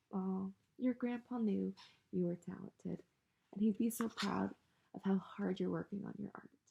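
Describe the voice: What we hear is plain reading aloud.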